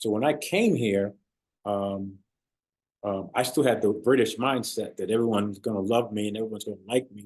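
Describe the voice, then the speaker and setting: Keeping his intonation fairly even, a man speaks at a fairly low pitch and a fairly quick pace. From born in London, England, raised in the US (New Rochelle, New York) from age eight. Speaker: former pro football player and author. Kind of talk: interview. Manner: hesitant, many fillers.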